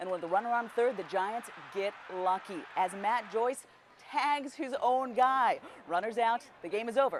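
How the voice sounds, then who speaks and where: Noticeable background noise sits behind a woman's voice. Her pitch is fairly high and her intonation is lively. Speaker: sports anchor for a local TV news station. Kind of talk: local TV sports news anchor delivery.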